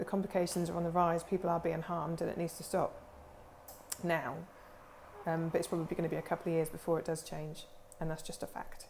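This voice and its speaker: A woman with a Norfolk accent talks at a very fast pace in a fairly low pitch and monotone, flat intonation, taking long, frequent pauses. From England, Norfolk. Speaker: aesthetics practitioner, clinic owner. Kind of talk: informal talk-to-camera explainer. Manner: rambling, many fillers.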